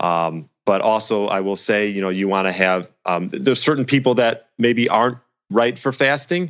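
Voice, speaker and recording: A man's unremarkable speaking voice, fairly low in pitch, with lively intonation at a moderate pace. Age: 30s. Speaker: personal trainer. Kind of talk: casual interview.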